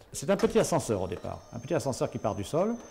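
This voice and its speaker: A man talks fairly quickly in a dark, mellow tone with vocal fry and very wide pitch swings. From southwestern France (Béarn). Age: 60s. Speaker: paraplegic driver giving a testimony. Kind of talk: testimony. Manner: halting, many hesitations and repetitions.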